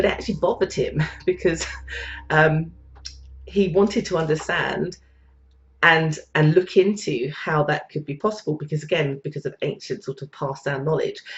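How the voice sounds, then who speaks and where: With a British accent, a woman speaks in a very deep, low pitch at a moderate pace, with ordinary pitch variation and long, frequent pauses. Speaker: psychic and spiritual teacher. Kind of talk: live-stream talk. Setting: live online video stream. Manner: halting with frequent repetitions and fillers.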